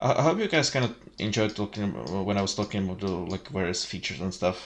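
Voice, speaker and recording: A man's fairly low voice at a very fast pace over a quiet background. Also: lively intonation. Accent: Czech. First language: Czech. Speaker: streamer. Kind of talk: casual chat. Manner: halting.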